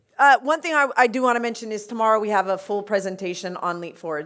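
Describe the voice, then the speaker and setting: Her intonation lively, a woman talks with an American accent. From US, Los Angeles. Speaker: conference panelist, homelessness sector leader. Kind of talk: conference panel presentation. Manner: fast; hesitant, many fillers and repeats.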